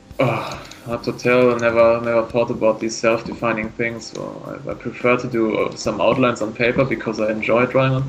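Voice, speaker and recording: At a fairly quick pace, a man speaks with a German accent at a medium pitch. His intonation is fairly even, and there is noticeable background noise. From northern Germany. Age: 20s. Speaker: artist and plant biology student. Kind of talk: interview. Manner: halting.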